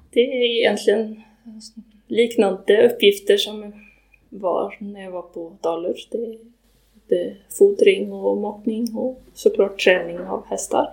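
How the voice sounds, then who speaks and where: At a very slow pace, a woman speaks with big swings in loudness. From western Sweden. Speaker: riding instructor and horse trainer. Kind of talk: interview. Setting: on location in Iceland. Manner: halting.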